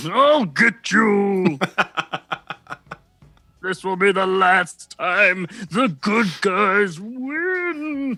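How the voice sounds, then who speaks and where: Someone does a put-on character voice at a middle pitch, moving at a very slow pace with long, frequent pauses. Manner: menacing, theatrical.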